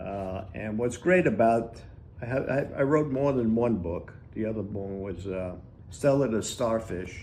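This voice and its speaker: A man with a dark, mellow tone and medium pitch talks at a fairly slow pace. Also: ordinary pitch variation. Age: 90s. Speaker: author. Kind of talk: interview answer.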